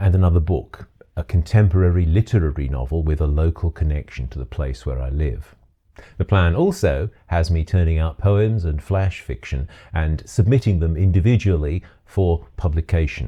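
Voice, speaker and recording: A man with a very deep, low pitch talks at a moderate pace in a dark, mellow tone, somewhat breathy, with ordinary pitch variation. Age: 60s. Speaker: retired teacher turned author and video maker. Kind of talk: scripted video monologue.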